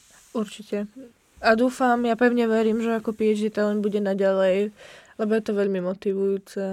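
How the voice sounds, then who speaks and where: A woman's fairly high, monotone, flat voice with a Slovak accent. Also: moderate pace. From Slovakia. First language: Slovak (speaking Czech). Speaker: podcast host, PhD student. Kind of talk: casual chat.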